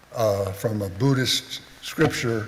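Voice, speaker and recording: This man's voice sits fairly low and has ordinary pitch variation. Noticeable background noise runs under it. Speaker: friend speaking at a memorial. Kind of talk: memorial speech. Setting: memorial service with audience. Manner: loud.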